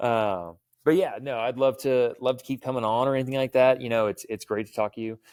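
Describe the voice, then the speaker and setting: A man with an American accent, a normal speaking voice, fairly even intonation and a fairly quick pace, in a very clean recording with a silent background and a dry, close sound with no echo. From US South, Houston, Texas. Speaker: firearms trainer. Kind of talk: podcast interview. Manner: casual.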